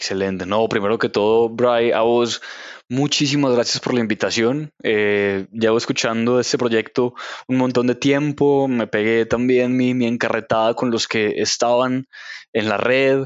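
A man's medium-pitched voice at a fairly slow pace, with very even loudness. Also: fairly even intonation. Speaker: literature teacher and novelist. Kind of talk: casual interview. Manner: halting, frequent word repetition.

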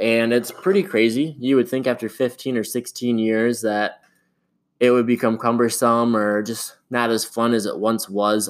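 A man talks at a moderate pace with an American accent, medium pitch and fairly even intonation in an ordinary speaking voice. The recording is very clean, with a silent background. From Michigan, US Midwest. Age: 20s. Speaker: podcast host. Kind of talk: casual solo podcast monologue.

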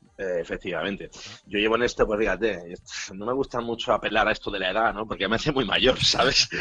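Fairly low in pitch, a man speaks with a bright, sharp tone. His pace is very fast and his intonation fairly even. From Spain, Bilbao (Basque Country). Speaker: DJ. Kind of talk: casual chat.

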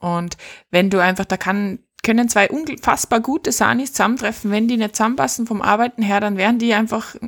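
Speaking in an Austrian accent, a woman keeps a moderate pace with ordinary pitch variation, in a dry, close sound with no echo. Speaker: podcast host and paramedic. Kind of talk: casual chat. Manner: animated.

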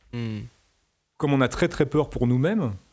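Talking at a moderate pace, a man uses a medium pitch. His pitch variation is ordinary. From France. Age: 50s. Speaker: musician. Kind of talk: interview.

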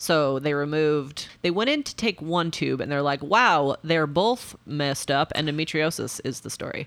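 A woman with an American accent speaks at a moderate pace and a very deep, low pitch, with ordinary pitch variation and hardly any pauses. The recording is very clean, with a silent background. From Nebraska, US Midwest. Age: 40s. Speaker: active transportation advocate. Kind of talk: casual chat. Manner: animated.

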